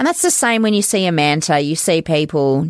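A woman speaks with a fairly low pitch and lively intonation at a fairly quick pace. The recording is very clean, with a silent background. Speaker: volunteer coordinator for marine conservation group. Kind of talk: casual chat. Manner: laughs a lot.

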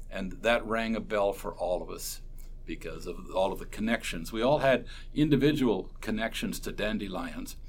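A man with a Canadian accent at a moderate pace. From Ontario, Canada (Port Dover). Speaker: folk musician. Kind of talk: interview. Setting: convention hospitality suite.

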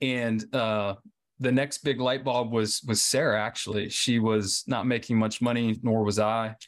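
A man speaks in a plain, everyday voice at medium pitch and a fairly slow pace. His loudness stays very even and his intonation fairly even. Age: 30s. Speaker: cancer survivor. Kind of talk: interview.

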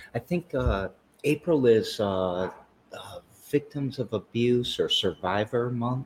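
Somewhat breathy and at a medium pitch, a man speaks at a fairly slow pace with lively intonation and long, frequent pauses. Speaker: podcast host. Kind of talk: casual interview.

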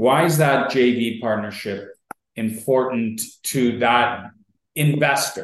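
In a room with audible echo, a man with an Ontario accent speaks very slowly with fairly even intonation. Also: medium pitch for a man. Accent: Canadian (Ontario). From York Region, Ontario, Canada. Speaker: podcast host and real estate investor. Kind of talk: casual interview chat.

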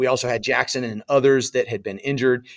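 In an American accent, a man talks at a fairly quick pace and medium pitch, his intonation monotone and flat. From Southern California. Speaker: former Marine infantry officer. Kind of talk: interview storytelling.

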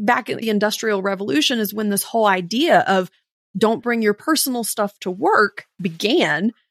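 Speaking at a moderate pace, a woman has an unremarkable speaking voice pitched fairly high. The sound is dry and close, with no echo. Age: 40s. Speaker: HR consultant. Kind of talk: casual chat.

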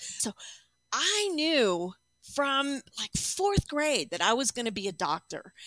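The voice is raised and projected at a fairly slow pace. The sound is dry and close with no echo. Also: woman. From Arizona. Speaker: clinician. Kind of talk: interview.

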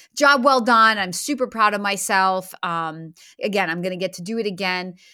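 In a plain, everyday voice, a woman speaks at a fairly slow pace with a medium pitch. Her pitch variation is ordinary, and the recording is very clean with a silent background. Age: 50s. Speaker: podcast host and franchise consultant. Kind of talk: solo podcast monologue.

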